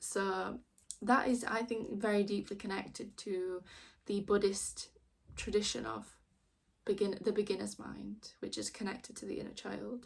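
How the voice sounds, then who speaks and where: In a strong Yorkshire accent, a woman speaks at a moderate pace with big swings in loudness. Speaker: tarot reader. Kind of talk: tarot reading with card text read aloud.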